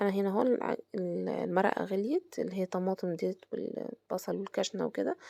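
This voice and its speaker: The sound is dry and close with no echo as this woman talks at a moderate pace. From Egypt. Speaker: home cooking vlogger. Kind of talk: cooking tutorial. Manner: halting, with fillers and restarts; casual, conversational.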